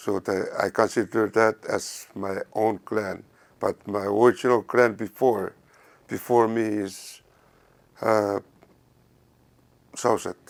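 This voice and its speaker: Very slowly and with long, frequent pauses, a man in a Micronesian accent speaks with a fairly low pitch and monotone, flat intonation, in a dry, close sound with no echo. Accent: Micronesian (Carolinian) English. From Satawal, Caroline Islands, Micronesia. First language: Satawalese. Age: 60s. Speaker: preschool teacher and cultural guest. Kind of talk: interview.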